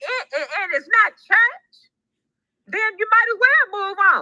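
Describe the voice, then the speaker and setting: The voice is raised and projected, with a bright, sharp tone, very wide pitch swings and an animated delivery. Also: woman. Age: 60s. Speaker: livestream co-host caller. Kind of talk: casual chat. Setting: live stream voice chat.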